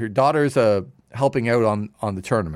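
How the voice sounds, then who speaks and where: This is a plain, everyday voice with a Canadian accent. It moves at a fairly quick pace with lively intonation. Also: man. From Canada, Toronto area. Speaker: sports radio broadcaster. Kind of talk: casual chat. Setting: studio.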